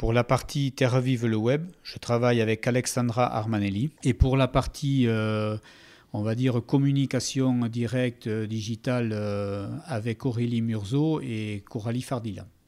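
Very slow, fairly even speech with hardly any pauses, on a very clean recording with a silent background. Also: man, medium pitch for a man. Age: 50s. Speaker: agricultural cooperative manager. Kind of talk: interview. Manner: halting.

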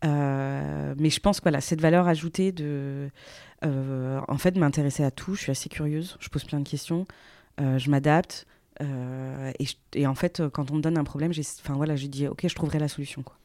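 Speaking at a moderate pace with fairly even intonation, a woman has a very deep, low pitch and a dark, mellow tone on a very clean recording with a silent background. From France, moved often. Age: 30s. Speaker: business executive. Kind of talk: podcast interview. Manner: hesitant, many fillers.

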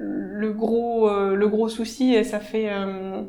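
The speaker is a woman. Her voice carries some room reverberation, and background noise is clearly present. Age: 40s. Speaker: civil engineer. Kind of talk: interview. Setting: office.

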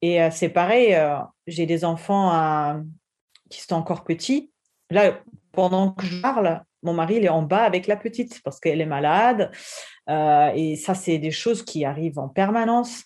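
With a German accent, a woman talks at a fairly slow pace and fairly low pitch, using ordinary pitch variation and long, frequent pauses. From Germany. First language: German (speaking French). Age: 30s. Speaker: entrepreneur. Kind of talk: interview testimony. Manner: halting.

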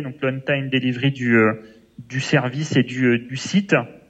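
A man's fairly slow delivery at medium pitch, with fairly even intonation. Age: 20s. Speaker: logistics manager. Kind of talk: interview. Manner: hesitant, many fillers.

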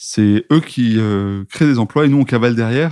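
A man speaks at a moderate pace with a dark, mellow tone and ordinary pitch variation. The sound is dry and close with no echo, over a quiet background. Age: 30s. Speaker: entrepreneur. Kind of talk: interview. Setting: shop.

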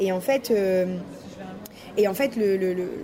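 Against noticeable background noise, the woman's pitch rises and falls in an ordinary way. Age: 20s. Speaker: web designer and entrepreneur. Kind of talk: interview.

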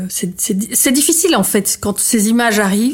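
A woman talks with lively intonation. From Belgium. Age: 50s. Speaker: artist and former journalist. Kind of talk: testimony. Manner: halting.

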